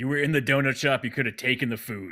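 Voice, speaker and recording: A man puts on a raspy character voice at a medium pitch and speaks at a very fast pace, on a very clean recording with a silent background. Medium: actual play. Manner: cocky, wisecracking.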